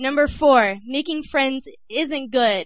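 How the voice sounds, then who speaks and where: Speech comes very slowly from a woman. She talks with an American accent. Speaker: poet. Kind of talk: spoken-word poem performed at an open mic. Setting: stage with audience.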